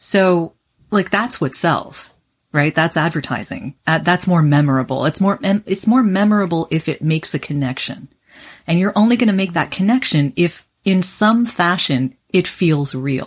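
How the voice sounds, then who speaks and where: In a Canadian accent, a woman with a fairly low pitch and an unremarkable speaking voice uses lively intonation at a very even loudness, in a very clean recording with a silent background. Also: moderate pace. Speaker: voice actor. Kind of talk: interview conversation.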